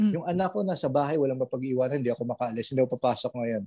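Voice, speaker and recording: Talking at a very fast pace, a man speaks with lively intonation. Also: dry, close sound with no echo. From Philippines. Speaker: store manager abroad. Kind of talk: testimony.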